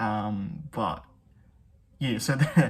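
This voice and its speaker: Soft-spoken and somewhat breathy, a man of medium pitch talks with lively intonation. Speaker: music reaction youtuber. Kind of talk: reaction commentary.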